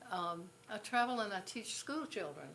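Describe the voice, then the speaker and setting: A woman's voice with audible room echo. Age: 80s+. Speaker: pastor. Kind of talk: speech at event. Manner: halting.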